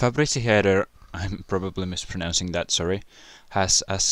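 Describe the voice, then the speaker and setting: Recorded very cleanly against a silent background, a man talks at a moderate pace with ordinary pitch variation. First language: not English. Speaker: YouTuber answering viewer questions. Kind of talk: casual Q&A video.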